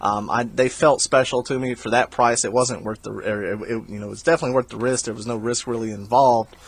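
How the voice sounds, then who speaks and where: A man at medium pitch with a strong Southern US accent, very fast with hardly any pauses, fairly even intonation and big swings in loudness. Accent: thick Southern US. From South Carolina. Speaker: video game reseller vlogger. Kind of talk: voiceover commentary on haul footage. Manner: casual, halting with many fillers.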